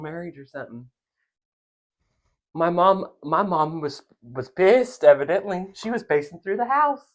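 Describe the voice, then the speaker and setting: Lively in intonation and animated in tone, a man with an American accent speaks at a moderate pace. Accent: Southern US hick accent, usually covered up. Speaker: podcast co-host. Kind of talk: casual chat.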